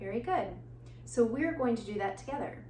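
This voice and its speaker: A woman speaks over noticeable background noise. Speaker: prenatal and postpartum fitness and breathwork instructor. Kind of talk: guided breathwork instruction.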